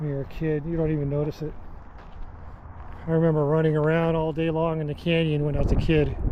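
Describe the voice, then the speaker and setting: Audible room echo plus noticeable background noise. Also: man. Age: 60s. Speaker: hiking vlogger. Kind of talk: casual monologue.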